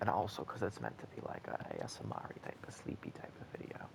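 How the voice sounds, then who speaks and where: Quietly whispering, a man is heard over noticeable background noise. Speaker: gaming YouTuber. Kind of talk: gameplay commentary.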